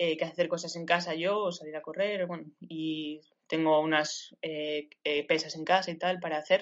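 A woman speaks in a fairly low voice at a moderate pace. Her intonation stays flat and monotone. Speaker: squash player and university student. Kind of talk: interview.

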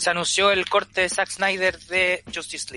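The man has a Chilean accent and a bright, sharp tone. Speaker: podcast co-host. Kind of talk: casual chat. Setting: remote recording.

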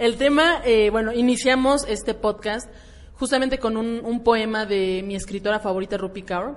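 Fairly high pitch from a woman with a Mexican accent, fairly slow, with ordinary pitch variation. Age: 20s. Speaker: podcast host. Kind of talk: casual chat.

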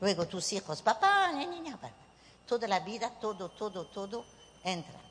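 Over noticeable background noise, a woman speaks with a French accent. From southwestern France (Bordeaux, Bayonne). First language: French (speaking Spanish). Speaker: psychic medium. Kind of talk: workshop talk to a live audience. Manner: animated.

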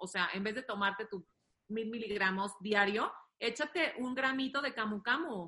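Medium pitch, a bright, sharp tone and ordinary pitch variation from a woman. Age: 30s. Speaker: doctor and nutritionist. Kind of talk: casual chat. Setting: video call.

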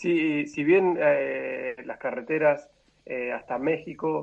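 This is a man's voice. He speaks with a Rioplatense accent. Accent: Argentine Spanish (rioplatense). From Argentina. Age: 30s. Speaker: traveler and lawyer. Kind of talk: interview conversation. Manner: halting, many repetitions.

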